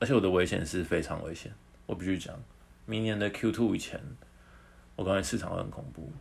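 Very deep and low, a man's voice with vocal fry and lively intonation moves at a fairly quick pace, broken by long, frequent pauses, in audible room echo. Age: 20s. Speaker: podcast co-host. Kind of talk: casual chat.

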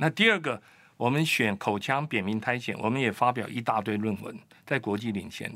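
On a very clean recording with a silent background, a man at medium pitch speaks in a bright, sharp tone with ordinary pitch variation. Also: moderate pace. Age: 60s. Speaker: immunology researcher and doctor. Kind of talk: expert interview.

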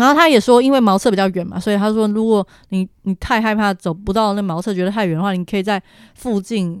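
Very fast delivery with ordinary pitch variation, in a dry, close recording with no echo and a very clean, silent background. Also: woman, medium pitch for a woman. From Taiwan. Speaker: travel planner. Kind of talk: casual interview about travel.

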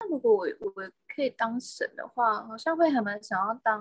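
A woman talks at a moderate pace in a dry, close recording with no echo. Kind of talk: casual chat.

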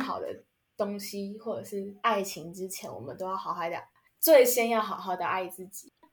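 A woman with an ordinary speaking voice keeps a moderate pace, her pitch varying in an ordinary way. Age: 20s. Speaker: podcast host. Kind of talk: casual chat.

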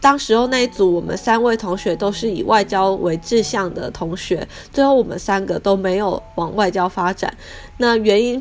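A woman speaks at a moderate pace with a Taiwanese accent. Noticeable background noise runs underneath. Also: medium pitch for a woman, ordinary pitch variation. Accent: Taiwanese Mandarin. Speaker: artist and podcast host. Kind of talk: personal storytelling monologue. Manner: frequent hesitation fillers.

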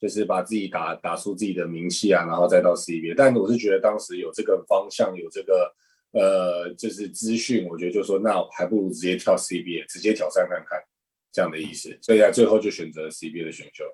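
Big loudness swings from a man talking fairly quickly. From Taiwan. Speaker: professional basketball player. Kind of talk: interview.

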